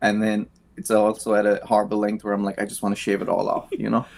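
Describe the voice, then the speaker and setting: Speaking at a fairly quick pace, a man talks. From Ireland, County Kerry and Cork. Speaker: singer-songwriter. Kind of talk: casual interview.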